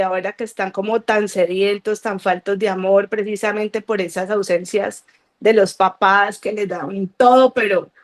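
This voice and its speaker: The sound is dry and close, with no echo. A woman of medium pitch talks at a fairly slow pace in a monotone, flat intonation. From Colombia, Cali. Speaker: guest giving a faith testimony. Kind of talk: testimony.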